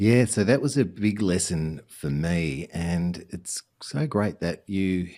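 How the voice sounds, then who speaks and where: In a very clean recording with a silent background, a man with an Australian accent speaks with ordinary pitch variation. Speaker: podcast host. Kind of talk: interview conversation.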